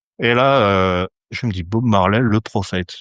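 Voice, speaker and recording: The voice shows ordinary pitch variation. The sound is dry and close with no echo, over a quiet background. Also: man. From France, Saint-Étienne. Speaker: astrologer. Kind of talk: podcast interview. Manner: hesitant, many fillers.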